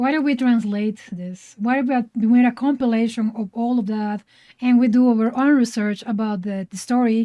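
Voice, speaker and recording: A woman with a Spanish accent speaks at a moderate pace in a dark, mellow tone. Her pitch is fairly high and her intonation fairly even. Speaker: podcast co-host, artist. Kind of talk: casual chat.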